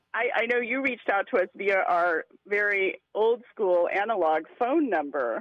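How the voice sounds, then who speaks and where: Here is a woman with a plain, everyday voice at a medium pitch, speaking with lively intonation and very even loudness. She hardly pauses at all. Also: fairly slow pace. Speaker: arts collective performer. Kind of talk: casual interview chat. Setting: phone call.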